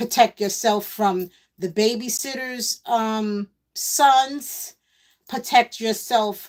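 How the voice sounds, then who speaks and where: Speaking with a New York accent, a woman talks at a very slow pace. Her pitch is fairly high, with ordinary variation. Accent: New York City. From New York City (Queens). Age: 60s. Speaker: live-stream host, former MC. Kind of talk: casual live-stream monologue. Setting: live stream while pedalling exercise bike.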